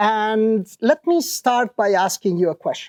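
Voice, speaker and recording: A man with an Italian accent makes very wide pitch swings. The recording is very clean with a silent background, and the sound is dry and close with no echo. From Italy. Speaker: professor. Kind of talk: conference talk. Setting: stage with audience.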